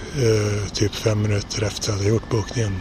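Noticeable background noise surrounds this man's voice. He speaks at a fairly low pitch in a monotone, flat delivery. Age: 40s. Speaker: travel diarist. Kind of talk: audio travel diary. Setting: outdoors and on trains.

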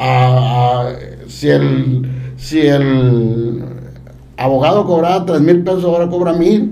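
A man at a medium pitch with ordinary pitch variation speaks at a very slow pace, with audible room echo and noticeable background noise. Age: 50s. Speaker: civic activist and association leader. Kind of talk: casual interview.

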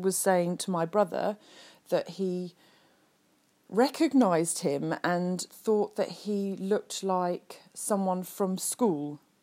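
A woman with an English accent, a dark, mellow tone and medium pitch, at a very slow pace with ordinary pitch variation. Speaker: podcast host. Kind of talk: casual monologue. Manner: halting, many fillers.

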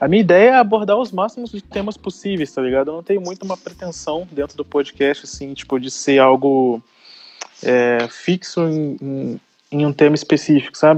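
A man with a plain, everyday voice, fairly high pitch, lively intonation, a moderate pace, and big swings in loudness. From Rio de Janeiro, Brazil. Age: 20s. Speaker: podcaster. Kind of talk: casual chat.

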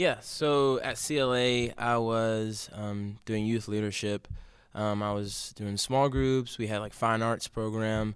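A man with an American accent at a very slow pace, his intonation fairly even. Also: medium pitch for a man. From Baltimore, Maryland. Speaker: vintage clothing entrepreneur. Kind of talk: casual chat.

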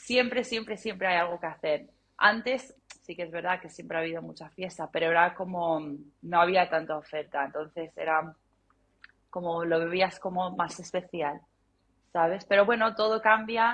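A woman's ordinary speaking voice, fairly low in pitch with ordinary pitch variation, a moderate pace and big swings in loudness. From London, England. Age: 30s. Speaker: music journalist and podcaster. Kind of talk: casual interview chat.

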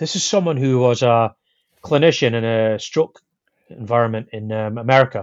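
Speaking with a Scottish accent, a man keeps a medium pitch, ordinary pitch variation, and a moderate pace. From Scotland. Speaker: podcast guest, old friend of host. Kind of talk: casual conversation about spirituality.

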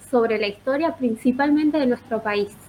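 A woman speaks at a high pitch in a Rioplatense accent. Her pitch varies in an ordinary way. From Azul, Buenos Aires province. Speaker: history teacher and student policy coordinator. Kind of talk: question to the host.

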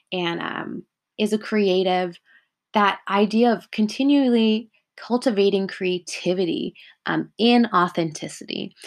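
A woman speaks with a Californian accent at a medium pitch. Her pitch varies in an ordinary way, and the recording is very clean with a silent background. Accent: Californian American English. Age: 20s. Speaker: podcast host. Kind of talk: solo podcast monologue.

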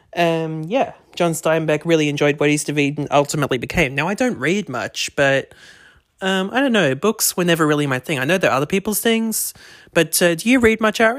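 This man has an Australian accent and a high pitch. He talks fairly quickly with lively intonation. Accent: thick Australian. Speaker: podcast host. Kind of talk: casual chat, movie review podcast. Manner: chatty, upbeat.

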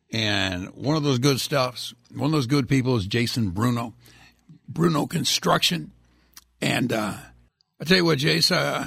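Putting on a husky, raspy character voice at medium pitch, a man speaks at a fairly slow pace with lively intonation and long, frequent pauses.

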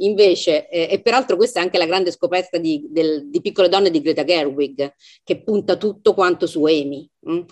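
This woman has an ordinary speaking voice, pitched fairly low. Her intonation is lively and her pace moderate. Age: 50s. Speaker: literary translator and professor. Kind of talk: book club discussion. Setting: video call.

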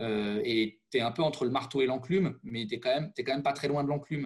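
Fairly quick speech from a man at medium pitch. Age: 30s. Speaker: former teacher. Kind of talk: interview conversation. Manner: halting.

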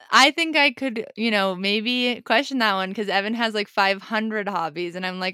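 A woman's bright, sharp, medium-pitched voice with an American accent, on a very clean recording with a silent background. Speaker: podcast co-host. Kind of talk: casual chat. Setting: on a road trip. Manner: fast talker.

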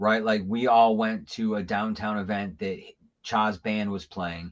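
Very slow delivery from a man with fairly low pitch, over a quiet background. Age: 40s. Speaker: radio host. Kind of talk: casual chat. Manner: animated.

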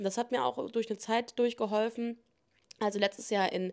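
Medium-pitched female speech with ordinary pitch variation, very clean recording, silent background. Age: 20s. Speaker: podcast host. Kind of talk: casual monologue answering listener questions.

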